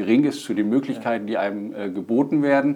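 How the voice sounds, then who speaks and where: A man with a medium pitch is heard over noticeable background noise. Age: 30s. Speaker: stand-up paddling instructor and hobby racer. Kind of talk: podcast interview. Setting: studio. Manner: hesitant, many fillers.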